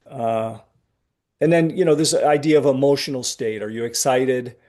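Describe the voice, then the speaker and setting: A man talks at a moderate pace in a dark, mellow tone. His pitch varies in an ordinary way over a quiet background. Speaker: trading performance coach. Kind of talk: webinar presentation. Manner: animated.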